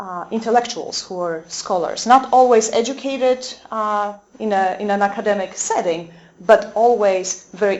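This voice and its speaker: Speaking at a moderate pace, a woman with a medium pitch and ordinary pitch variation swings widely in loudness, with audible room echo. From Poland. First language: Polish. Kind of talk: lecture. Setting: convent talk with audience. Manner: halting, many fillers.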